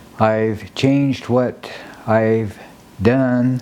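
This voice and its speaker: Very slow speech from a man with an American accent, medium pitch, fairly even intonation, noticeable background noise. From Nebraska, US Midwest. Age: 80s+. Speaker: amateur jazz dancer and sculptor. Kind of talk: documentary interview narration. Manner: halting, with many fillers.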